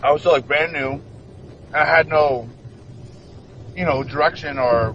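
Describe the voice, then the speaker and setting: Over noticeable background noise, a man talks at a moderate pace in a fairly high pitch with fairly even intonation. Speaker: professional wrestler. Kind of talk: interview. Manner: stuttering.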